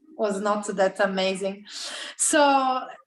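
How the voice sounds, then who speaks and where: The speaker is a woman. She talks with a Sicilian accent. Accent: Italian (Sicilian) accent in English. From Sicily, Italy. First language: Italian. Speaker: interpreter and co-host of a genealogy group. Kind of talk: casual group meeting with live interpreting.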